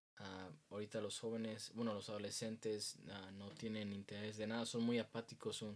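Speaking at a moderate pace, a man has an ordinary speaking voice at medium pitch. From Mexico. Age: 20s. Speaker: youth group leader. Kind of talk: interview.

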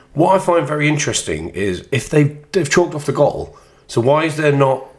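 Noticeable background noise accompanies a man talking at a fairly quick pace with fairly high pitch. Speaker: football podcast host. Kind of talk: casual banter about football. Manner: joking, laughs often.

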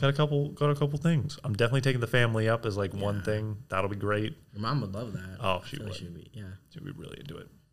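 A somewhat breathy man at a medium pitch, very fast pace and lively intonation, with big swings in loudness and hardly any pauses. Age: 20s. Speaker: podcast co-host and hot air balloon pilot. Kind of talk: casual chat. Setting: studio. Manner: animated.

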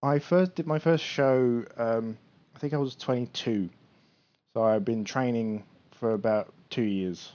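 At a very slow pace, a man talks with a British accent. His pitch is medium, with ordinary variation. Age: 30s. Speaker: bodybuilder. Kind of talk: casual chat.

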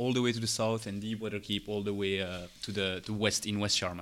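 A man's bright, sharp tone at medium pitch. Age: 30s. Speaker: game master. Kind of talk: tabletop role-play narration.

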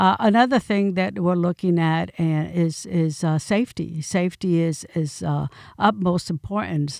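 A woman with a fairly low pitch and ordinary pitch variation at a fairly slow pace with hardly any pauses, dry and close with no echo, on a very clean recording with a silent background. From New York City (Bronx), Puerto Rican family. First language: Spanish. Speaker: county commissioner. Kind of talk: interview.

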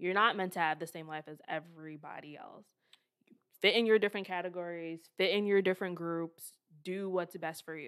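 A woman with a plain, everyday voice and an American accent speaks fairly quickly at a fairly low pitch, her intonation fairly even but her loudness swinging widely, in a very clean recording with a silent background. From American suburbs. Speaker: podcast co-host. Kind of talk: casual chat.

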